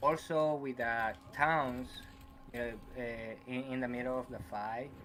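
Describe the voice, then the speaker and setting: Music plays in the background. A man speaks at a medium pitch with fairly even intonation. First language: not English. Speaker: caller. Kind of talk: casual chat. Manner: halting.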